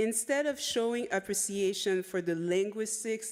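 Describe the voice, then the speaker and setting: At a fairly slow pace, a woman with a French accent talks at a medium pitch with ordinary pitch variation. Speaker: conference presenter, researcher. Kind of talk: conference presentation of a report. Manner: reads with frequent repetitions and self-corrections.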